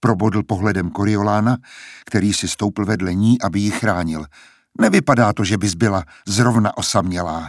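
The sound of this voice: The voice here is an unforced reading voice.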